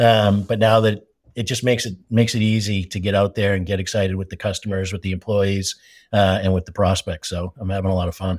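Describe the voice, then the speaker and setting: In an American accent, a man speaks at a very fast pace with a fairly low pitch and monotone, flat intonation, the sound dry and close with no echo on a very clean recording with a silent background. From Massachusetts, US. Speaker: company CEO. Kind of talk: interview podcast.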